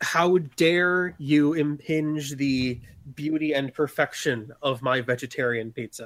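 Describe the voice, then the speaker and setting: Using a put-on character voice, a man sounds shrill at a fairly high pitch. He talks at a fairly slow pace. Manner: screeching in rage.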